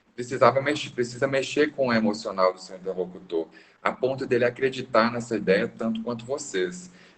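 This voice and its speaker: Moderate pace and medium pitch from a man, with ordinary pitch variation. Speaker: business consultant. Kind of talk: lecture. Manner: varies pitch to keep attention.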